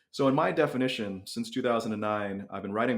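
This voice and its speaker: A man with a normal speaking voice, fairly low pitch and ordinary pitch variation. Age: 40s. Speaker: personal finance blogger. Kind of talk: interview.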